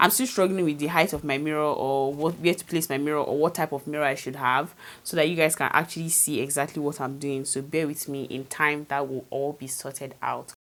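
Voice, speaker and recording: Over a silent background on a very clean recording, a woman with a very deep, low pitch speaks at a fairly quick pace. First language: not English. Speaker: beauty vlogger. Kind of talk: tutorial. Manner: casual, chatty.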